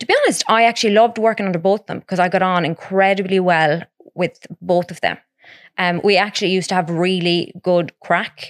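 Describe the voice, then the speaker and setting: At a fairly quick pace, a woman speaks in a west of Ireland accent at medium pitch with fairly even intonation. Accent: west of Ireland Irish. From Ireland, Ballina, County Mayo. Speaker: podcast co-host. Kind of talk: casual chat.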